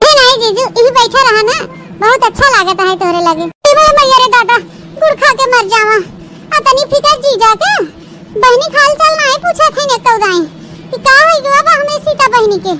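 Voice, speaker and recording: Performing a cartoonish character voice at an extremely high pitch, a woman uses lively intonation and takes long, frequent pauses over light background noise. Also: moderate pace. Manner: chatty, dramatic exclamations.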